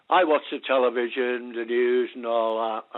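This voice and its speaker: A man speaks at a medium pitch. His pace is fairly slow. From England. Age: 80s+. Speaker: caller. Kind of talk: phone-in call. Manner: halting.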